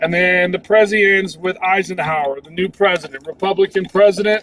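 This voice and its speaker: A high-pitched man at a fairly quick pace, fairly even in intonation, with big swings in loudness over noticeable background noise. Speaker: history teacher. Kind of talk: recorded class lesson preview. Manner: casual, with many fillers.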